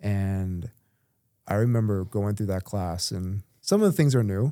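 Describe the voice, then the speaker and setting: A man with an American accent, fairly low pitch and dark, mellow tone, at a moderate pace with ordinary pitch variation, on a very clean recording with a silent background. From Tampa Bay area, Florida. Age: 40s. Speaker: realtor. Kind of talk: casual chat.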